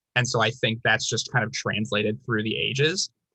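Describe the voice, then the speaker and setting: A man with an American accent speaks at a moderate pace, his bright, sharp tone edged with vocal fry. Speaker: teacher and video host. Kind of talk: casual chat.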